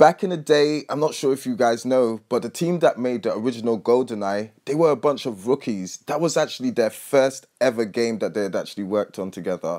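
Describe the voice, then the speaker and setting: Speaking at a fairly quick pace with a British accent, a man uses a medium pitch, lively intonation and an energetic tone, recorded very cleanly against a silent background. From Britain. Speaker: gaming YouTuber. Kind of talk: casual video commentary. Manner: energetic, hype.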